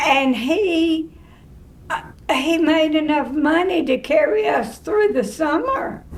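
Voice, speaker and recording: A woman speaks very slowly in a rural Tennessee accent, her pitch high and her pitch variation ordinary. Audible room echo and noticeable background noise are present. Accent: Southern US (rural Tennessee). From Tennessee, Cheatham County (rural). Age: 80s+. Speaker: retired drama teacher. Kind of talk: interview.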